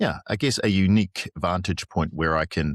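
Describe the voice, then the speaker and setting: A man with a New Zealand accent, moderate pace and fairly even intonation, in a dry, close sound with no echo over a very clean recording and silent background. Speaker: headhunter for consulting firms. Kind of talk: podcast interview. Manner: halting, many fillers.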